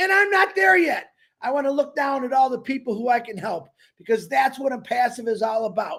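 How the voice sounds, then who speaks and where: A man speaks loudly at an extremely high pitch. His tone is animated, and his pace is moderate. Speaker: network marketing member. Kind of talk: motivational speech. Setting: webinar.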